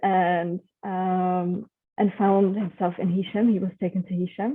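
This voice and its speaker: A woman speaks with a non-native accent at a medium pitch. Her pace is moderate. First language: not English. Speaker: researcher. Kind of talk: online presentation. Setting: video call. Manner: halting, many fillers.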